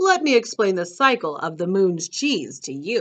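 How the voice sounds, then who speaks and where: With a quiet background, a female-sounding voice puts on a character voice at a middle pitch and a moderate pace. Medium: read story. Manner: friendly, jolly.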